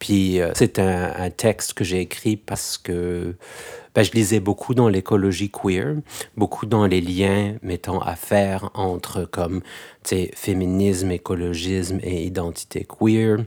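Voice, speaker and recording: A man speaks at a very slow pace in a very deep, low pitch with a dark, mellow tone. His intonation is fairly even, and the sound is dry and close with no echo. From France, Algerian heritage. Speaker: poet and stage performer. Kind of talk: interview.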